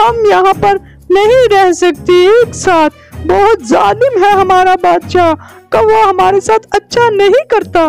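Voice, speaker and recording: In a cartoonish character voice, a female-sounding speaker talks at an extremely high pitch and a fairly slow pace, with faint music in the background. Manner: sorrowful, determined.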